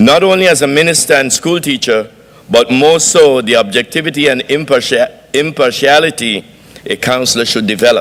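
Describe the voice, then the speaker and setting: Noticeable background noise sits under this recording. A man with a fairly high pitch speaks at a moderate pace. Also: ordinary pitch variation. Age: 60s. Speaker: graduate speaker, pastor. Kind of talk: speech. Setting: graduation banquet, stage with audience. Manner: formal.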